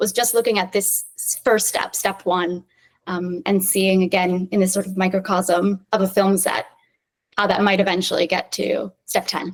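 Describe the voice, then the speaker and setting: A woman with an American accent speaks in a plain, everyday voice at medium pitch and a moderate pace. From US, New York City. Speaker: film director. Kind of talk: interview.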